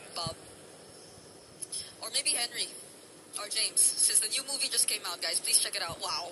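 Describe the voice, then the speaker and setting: With lively intonation at medium pitch, a woman speaks at a moderate pace with long, frequent pauses and noticeable background noise. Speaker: esports broadcast talent. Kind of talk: casual interview segment. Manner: quiet.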